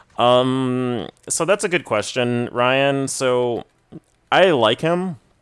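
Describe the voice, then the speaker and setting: A man talks with an American accent. Music plays in the background. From Texas. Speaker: gaming streamer. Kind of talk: live gameplay stream chat. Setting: live stream at home. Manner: casual, lots of filler words.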